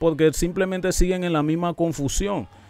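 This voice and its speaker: A man talks at a fairly quick pace in a dry sound with no echo. Faint music plays in the background. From Panama. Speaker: YouTube reaction channel host. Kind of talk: commentary video explaining an interview. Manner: animated. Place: studio. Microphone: studio mic.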